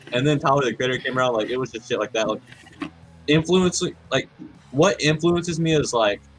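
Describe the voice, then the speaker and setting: A man's fairly high voice with ordinary pitch variation, a fairly quick pace and long, frequent pauses, over music in the background. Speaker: music collective member. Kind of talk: casual chat.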